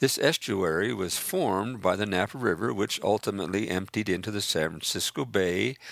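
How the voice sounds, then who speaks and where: A man with a very deep, low voice and vocal fry speaks at a moderate pace in an American accent, his intonation lively. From Northern California. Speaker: memoirist. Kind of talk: reading aloud.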